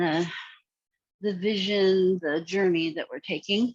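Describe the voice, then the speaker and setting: A soft-spoken woman at medium pitch and a fairly slow pace. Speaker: meditation guide. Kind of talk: guided meditation. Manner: louder than usual.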